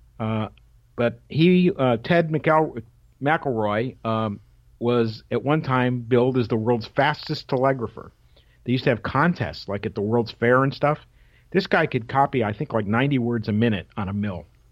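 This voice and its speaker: A man talks at a moderate pace with an American accent and a medium pitch. His pitch varies in an ordinary way, and it is a plain, everyday voice. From Connecticut, Waterbury. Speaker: retired radio league executive and telegraph key collector. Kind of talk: radio interview.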